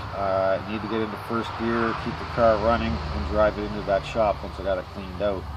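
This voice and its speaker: A man's voice comes with audible echo from the room and noticeable noise in the background. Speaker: car restoration hobbyist vlogger. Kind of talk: casual video blog. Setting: outdoors. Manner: loud; hesitant, many fillers.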